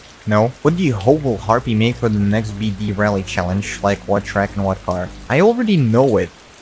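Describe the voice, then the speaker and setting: Over music in the background, a man with a fairly low pitch and ordinary pitch variation talks at a fairly quick pace with hardly any pauses. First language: Russian. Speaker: gaming YouTuber. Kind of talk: Q&A video monologue. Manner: casual, hesitant with fillers.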